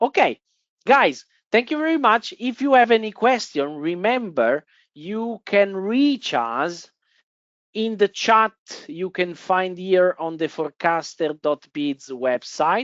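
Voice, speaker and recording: A woman talks at a very slow pace with a medium pitch. Her voice moves through very wide pitch swings. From Italy. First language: Italian. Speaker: trading software presenter. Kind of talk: webinar presentation. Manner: hesitant, many fillers.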